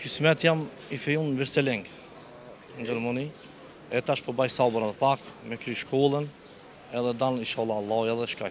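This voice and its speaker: Long, frequent pauses at a moderate pace, with fairly even intonation and light background noise. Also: man, dry sound with no echo. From Kosovo, Shtime area; Kosovo. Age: 30s. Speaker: interviewee on the street; interviewee. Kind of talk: street interview. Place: street. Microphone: handheld.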